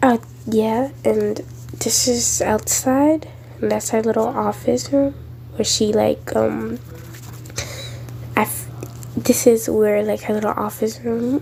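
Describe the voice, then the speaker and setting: With noticeable background noise, a woman speaks with long, frequent pauses. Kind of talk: casual game walkthrough narration.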